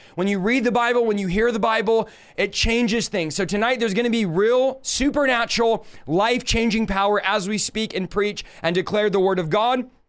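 A loud man with a high voice speaks fairly quickly, using ordinary pitch variation. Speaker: podcast host, preacher. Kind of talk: energetic sermon-style teaching. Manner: fast talker; excited, passionate.

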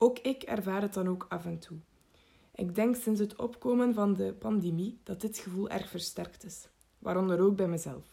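Somewhat breathy and dark, mellow in tone, a woman speaks at a medium pitch and moderate pace with ordinary pitch variation and big swings in loudness. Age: 18. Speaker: psychology student. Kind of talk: scripted narration.

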